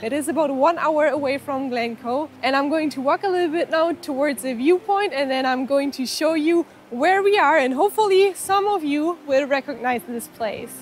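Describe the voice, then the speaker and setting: A woman talks at a high pitch and moderate pace with lively intonation and hardly any pauses, the sound dry with no echo and light background noise. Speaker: travel vlogger. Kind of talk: casual vlog chat. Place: open country. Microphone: phone near.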